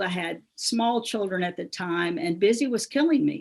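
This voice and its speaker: A woman with a Southern US accent speaks at a moderate pace. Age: 60s. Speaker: business founder and speaker. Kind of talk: motivational talk.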